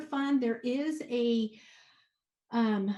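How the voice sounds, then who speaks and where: This woman's voice sits high in pitch. Her intonation stays fairly even. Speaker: city finance official presenting budget. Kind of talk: budget presentation at remote council meeting. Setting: remote meeting. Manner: halting, many fillers.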